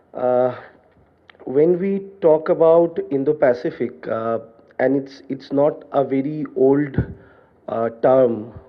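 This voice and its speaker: Speaking at a very slow pace with long, frequent pauses, a man uses a fairly high pitch. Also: ordinary pitch variation. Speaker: academic speaker at seminar. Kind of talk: seminar talk. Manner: halting with many fillers.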